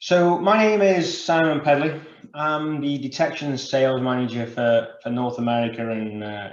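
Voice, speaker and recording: In a British accent, a man with a medium pitch talks at a moderate pace with lively intonation, and audible room echo surrounds his voice. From United Kingdom. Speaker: sales manager, industry speaker. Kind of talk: conference presentation. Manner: filler words and repetitions.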